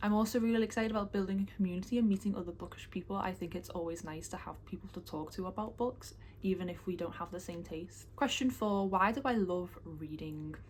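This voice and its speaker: A woman of medium pitch speaks at a very fast pace, somewhat breathy, with ordinary pitch variation. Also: hardly any pauses. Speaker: booktuber. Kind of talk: casual vlog talk. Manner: fast when excited.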